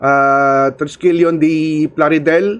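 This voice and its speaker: Speaking at a very slow pace, a man talks in a Filipino accent. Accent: Filipino (Hiligaynon) English. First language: Hiligaynon (Ilonggo). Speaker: podcast host. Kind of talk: live stream chat with shout-outs. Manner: hesitant, many fillers.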